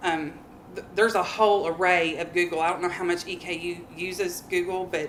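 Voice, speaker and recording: With audible room echo, the speech moves at a moderate pace in a flat monotone. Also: woman. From Kentucky. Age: 30s. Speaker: middle school math teacher. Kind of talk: workshop presentation. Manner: halting, many fillers.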